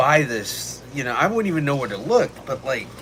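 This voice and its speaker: A man with an American accent speaks with very wide pitch swings. Noticeable background noise and audible room echo surround him. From Texas. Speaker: streamer. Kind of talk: casual live stream chat. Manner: animated.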